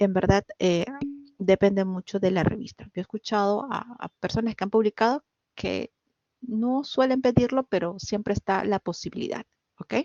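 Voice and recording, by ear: This woman's voice sits at a medium pitch, with fairly even intonation and a moderate pace. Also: dry, close sound with no echo, slightly mellow tone.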